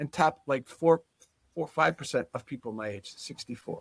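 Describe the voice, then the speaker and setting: The recording sounds dry and close, without any echo. A man does the talking. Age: 60s. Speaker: chiropractic neurologist. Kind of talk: interview. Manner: halting, many restarts.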